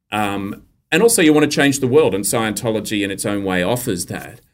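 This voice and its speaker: On a very clean recording with a silent background, the speaker uses an Australian accent with ordinary pitch variation. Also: man. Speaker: journalist and author. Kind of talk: casual interview chat.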